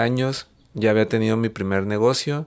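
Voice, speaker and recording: A man has an ordinary speaking voice, pitched in the medium range, with fairly even intonation. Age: 30s. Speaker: chef and entrepreneur. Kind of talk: interview conversation.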